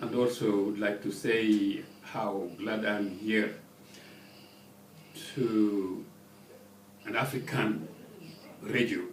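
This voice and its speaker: The speech is very slow, broken by long, frequent pauses. Audible room echo and noticeable background noise fill the recording. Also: man, fairly low pitch for a man. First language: French. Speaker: ambassador. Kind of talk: radio interview. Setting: studio. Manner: halting.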